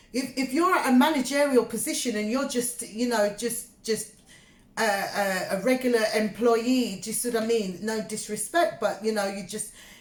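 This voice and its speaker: Somewhat breathy, a woman speaks with a London accent at a fairly high pitch. She keeps a moderate pace with lively intonation. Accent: British English (London). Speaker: tarot reader. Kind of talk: tarot reading monologue. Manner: halting, filler-heavy; casual, conversational.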